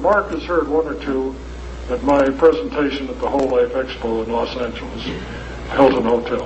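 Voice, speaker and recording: Through audible room echo and noticeable background noise, a man's speech moves at a moderate pace. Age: 70s. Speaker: lecturer presenting a health device. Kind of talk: lecture Q&A with audience.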